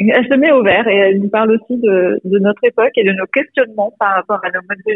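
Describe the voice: A woman speaks fast at a medium pitch, with ordinary pitch variation and a slightly husky edge. The sound is dry and close, with no echo.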